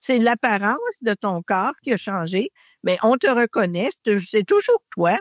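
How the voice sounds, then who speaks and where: At a very slow pace, a woman speaks in a Quebec accent with very even loudness and a dry, close sound with no echo. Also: ordinary pitch variation, very clean recording, silent background. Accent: Québécois French. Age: 70s. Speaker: podcast guest. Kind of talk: casual chat.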